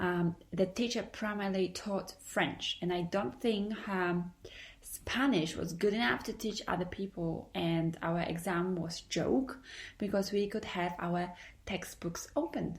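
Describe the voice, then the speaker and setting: A somewhat breathy woman's voice with a Polish accent, medium pitch, ordinary pitch variation and a fairly slow pace. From Poland. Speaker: podcaster. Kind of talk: podcast monologue. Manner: hesitant.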